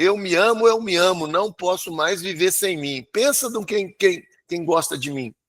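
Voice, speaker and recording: A man with a high pitch speaks in an animated tone at a fairly slow pace. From Brazil, small inland town. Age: 60s. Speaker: sales trainer. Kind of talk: motivational talk to live audience.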